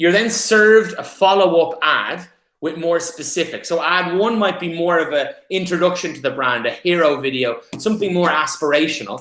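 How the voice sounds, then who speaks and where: This man has a high pitch, an Irish accent, ordinary pitch variation and a moderate pace. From Ireland. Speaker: paid media specialist. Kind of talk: presentation.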